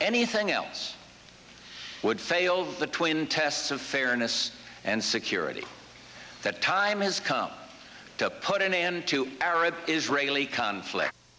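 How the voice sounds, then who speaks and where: Speaking at a fairly slow pace with long, frequent pauses, a man with an American accent talks at a high pitch with lively intonation and very even loudness over noticeable background noise. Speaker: US president. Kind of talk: political speech.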